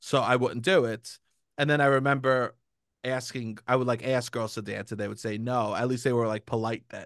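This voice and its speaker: Against a quiet background, a man uses a normal speaking voice at a medium pitch, moving at a fairly quick pace with fairly even intonation. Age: 30s. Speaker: comedian and podcast host. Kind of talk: casual chat.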